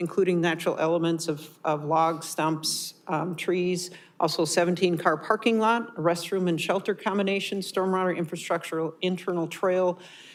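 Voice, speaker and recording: A woman talks at a moderate pace with a fairly low pitch. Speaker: city parks and recreation director. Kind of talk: council meeting presentation. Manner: loud; halting with many fillers.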